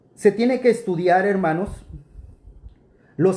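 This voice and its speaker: A man speaks at a fairly slow pace in a dark, mellow tone. His pitch varies in an ordinary way. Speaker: preacher. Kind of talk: rebuttal commentary.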